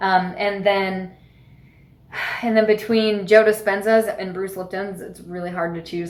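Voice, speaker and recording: In a room with audible echo, a woman talks at a moderate pace with monotone, flat intonation. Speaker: spiritual mentor and podcast host. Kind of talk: casual monologue, book recommendations.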